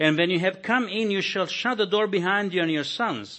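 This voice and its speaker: Speaking at a moderate pace with lively intonation, a man uses a high voice with a Croatian accent. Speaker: visiting pastor. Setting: church.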